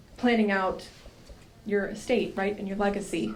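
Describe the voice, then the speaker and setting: In an American accent, a woman talks at a medium pitch with fairly even intonation, and audible room echo. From Colorado, US. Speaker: new member of a civic organization. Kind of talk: self-introduction at a conference.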